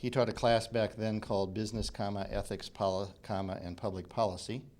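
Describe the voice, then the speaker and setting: A fairly low male voice at a moderate pace, with audible room echo. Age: 60s. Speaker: company CEO, guest speaker. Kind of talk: guest lecture, storytelling.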